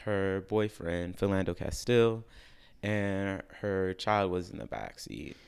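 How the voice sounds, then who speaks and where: The recording is very clean, and the background is silent. In it, a man talks with an American accent. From US Midwest, Chicago. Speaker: classical vocalist. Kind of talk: interview. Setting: studio.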